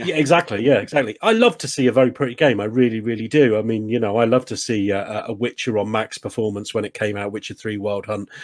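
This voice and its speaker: Very fast speech from a man, with a quiet backdrop. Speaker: podcast co-host. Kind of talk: casual podcast discussion. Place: home room.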